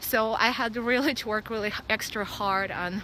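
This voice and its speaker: The woman's voice is fairly high in pitch, with a bright, sharp tone. She speaks at a fairly slow pace with fairly even intonation. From Russia. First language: Russian. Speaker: vlogger. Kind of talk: casual vlog. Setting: outdoors, dog park. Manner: halting, many fillers.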